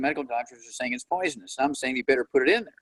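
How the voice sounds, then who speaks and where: A man with an American accent at a fairly high pitch and a very fast pace, in a dry, close sound with no echo. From US Midwest. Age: 80s+. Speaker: doctor and nutrition lecturer. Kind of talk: interview. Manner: animated.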